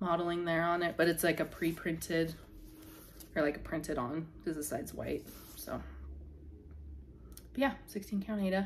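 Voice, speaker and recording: A woman mumbles with vocal fry, ordinary pitch variation and long, frequent pauses. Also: fairly low pitch for a woman, moderate pace. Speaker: crafting youtuber. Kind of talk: casual show-and-tell vlog. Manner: mumbling; hesitant, filler-heavy.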